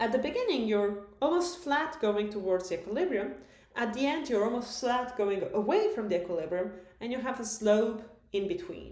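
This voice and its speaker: A woman's fairly high voice with very wide pitch swings, a moderate pace, audible room echo and noticeable background noise. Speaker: math lecturer. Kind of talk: recorded lecture.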